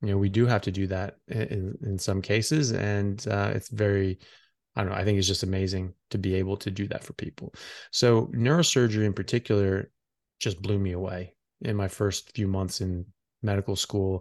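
An unremarkable speaking voice belongs to a man with a fairly low pitch and fairly even intonation. He talks at a moderate pace against a quiet background. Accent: American. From US, Seattle area (born California). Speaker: physician and neurosurgical resident. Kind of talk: podcast interview. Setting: remote call.

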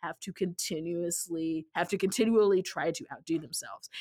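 Recorded very cleanly with a silent background, a woman with a plain, everyday voice speaks at a moderate pace with ordinary pitch variation. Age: 30s. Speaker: podcast host and author. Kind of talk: casual chat. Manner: repetitive false starts.

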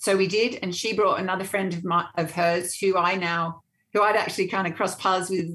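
In an Australian accent, a woman talks fairly quickly at a medium pitch with monotone, flat intonation. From Australia, Sydney. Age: 50s. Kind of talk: casual interview.

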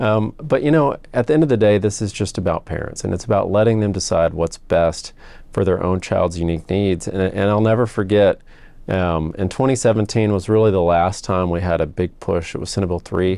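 Against a quiet background, a man with a Texan accent speaks at a moderate pace in a dark, mellow tone, his fairly low pitch varying in an ordinary way. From Texas. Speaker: state senator. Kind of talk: interview.

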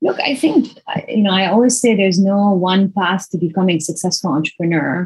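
A woman with a somewhat breathy, medium-pitched voice talks at a fairly quick pace with lively intonation. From Lebanon. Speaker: venture capital investor. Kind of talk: interview.

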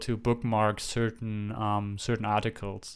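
A man's medium-pitched voice, fairly slow and fairly even in intonation, in a very clean recording with a silent background. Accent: non-native. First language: not English. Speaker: podcast co-host and app developer. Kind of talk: casual chat. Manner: laughs often.

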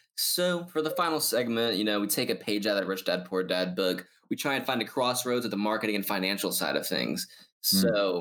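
In a very clean recording with a silent background, a man speaks at a fairly low pitch with lively intonation and very even loudness. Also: fairly quick pace. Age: young. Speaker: podcast host. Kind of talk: podcast interview. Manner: animated.

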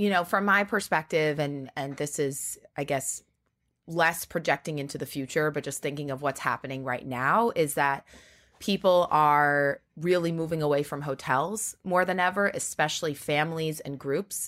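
A woman with an American accent speaks at a moderate pace in a very deep, low pitch with ordinary pitch variation. The recording is very clean with a silent background. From Long Island, New York. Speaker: startup executive. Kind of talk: interview.

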